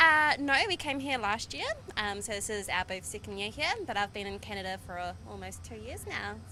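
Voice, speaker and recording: A woman speaks at a fairly quick pace in a New Zealand accent. Her loudness swings a lot. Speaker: food vendor. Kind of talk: casual interview. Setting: outdoor summer fair.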